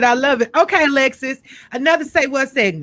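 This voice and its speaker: A woman speaks loudly in a bright, sharp tone with ordinary pitch variation. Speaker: radio host. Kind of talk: radio interview.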